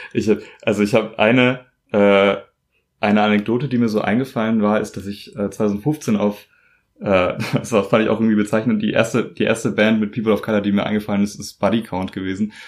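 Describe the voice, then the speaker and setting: Monotone and flat, a man speaks at a fairly low pitch. The recording is very clean, with a silent background. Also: fairly quick pace. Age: 20s. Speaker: podcast host. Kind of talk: casual interview. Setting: at home.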